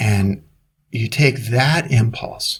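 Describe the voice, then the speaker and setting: Somewhat breathy male speech, its pitch varying in an ordinary way. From US Northeast, Brooklyn, New York. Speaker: leadership author and coach. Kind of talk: interview conversation.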